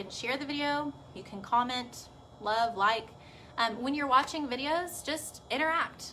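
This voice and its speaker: A woman with a Texas accent speaks at a high pitch with ordinary pitch variation. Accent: Texas twang. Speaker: pediatric physical therapist. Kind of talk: live video talk to parents. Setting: Facebook live video. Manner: casual, chatty.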